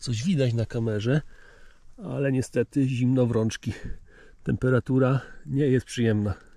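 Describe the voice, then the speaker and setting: A man speaks at a moderate pace in a dark, mellow tone with ordinary pitch variation and very even loudness. The sound is dry with no echo, over a quiet background. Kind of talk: casual vlog chat. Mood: cheerful, pleased. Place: forest. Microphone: phone near.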